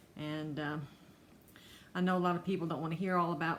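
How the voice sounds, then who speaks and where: In a North Carolina accent, a woman with a fairly low pitch speaks at a moderate pace with a monotone, flat intonation. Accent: Southern US (North Carolina). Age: 60s. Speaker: cross-stitch vlogger. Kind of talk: casual vlog monologue. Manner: halting.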